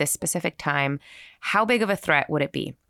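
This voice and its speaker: A bright, sharp voice with a Californian accent comes through a very clean recording with a silent background and a dry, close sound without echo. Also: woman. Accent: Californian American. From San Francisco Bay Area. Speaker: podcast host and journalist. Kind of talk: podcast conversation and narration.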